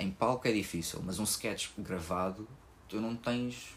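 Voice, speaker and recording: Here a man is talking. His voice rests at a medium pitch. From Portugal. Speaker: podcast host, stand-up comedian. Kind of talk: casual chat. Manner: fast.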